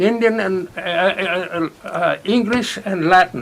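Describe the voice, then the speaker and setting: A man with an American accent and a high pitch, over noticeable background noise. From California. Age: 80s+. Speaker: war veteran. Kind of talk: interview answer.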